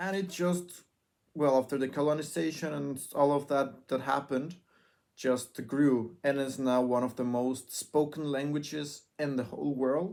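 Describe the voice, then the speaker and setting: A man talks with a fairly high pitch and ordinary pitch variation. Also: moderate pace, very clean recording, silent background. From Mexico. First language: Spanish. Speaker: vlogger. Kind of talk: casual vlog monologue. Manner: halting, self-correcting.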